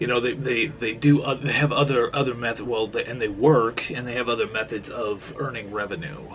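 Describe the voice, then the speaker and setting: A man's medium-pitched voice, lively in intonation and fairly quick, over noticeable background noise. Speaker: vlogger. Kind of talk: casual vlog talk. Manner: halting, many repeated words.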